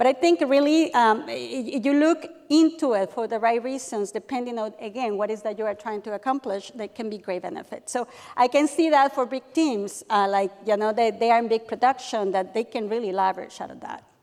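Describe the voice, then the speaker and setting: Speaking at a fairly quick pace, a woman with a fairly high pitch shows ordinary pitch variation and big swings in loudness. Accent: non-native. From Mexico. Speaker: realtor panelist. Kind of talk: panel discussion.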